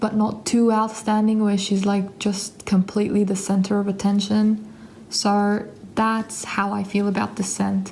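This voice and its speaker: A woman speaks in a flat monotone. There is noticeable background noise behind her. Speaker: perfume reviewer. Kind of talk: casual video review.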